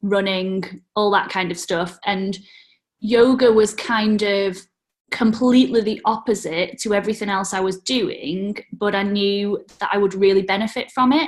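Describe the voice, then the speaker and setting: This woman speaks with a British accent. Her pitch variation is ordinary. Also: medium pitch for a woman, fairly slow pace. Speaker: yoga teacher. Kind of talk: interview.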